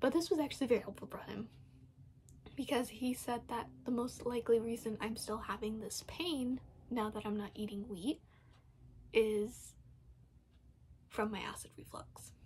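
A woman speaks at a moderate pace with vocal fry, long, frequent pauses and ordinary pitch variation. Her loudness swings widely, and there is light background noise. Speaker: vlogger. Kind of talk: casual vlog chat. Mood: calm, explanatory. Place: home room. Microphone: phone near.

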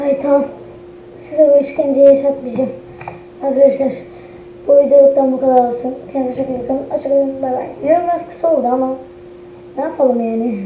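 Amid noticeable background noise and audible room echo, a woman speaks at a high pitch and fairly quick pace, with long, frequent pauses. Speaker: gaming youtuber. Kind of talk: gameplay commentary. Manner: animated. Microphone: crackly, distorted mic; too quiet.

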